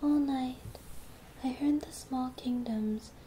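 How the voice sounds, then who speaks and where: A soft-spoken whisper at a very slow pace, with noticeable background noise. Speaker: ASMR creator. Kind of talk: ASMR poetry reading. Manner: soft-spoken, whispered.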